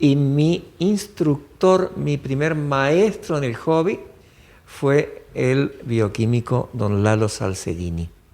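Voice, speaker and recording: A man with a fairly high pitch and very wide pitch swings, at a very slow pace. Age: 60s. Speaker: interviewee, local elder. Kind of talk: oral history interview. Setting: podcast interview. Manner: hesitant, with fillers.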